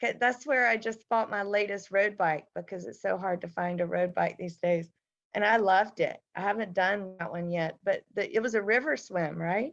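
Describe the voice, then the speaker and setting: A woman with an American accent talks in an ordinary speaking voice, at a medium pitch and with ordinary pitch variation. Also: moderate pace. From Mississippi, US South. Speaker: triathlete and swim event organizer. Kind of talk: casual chat.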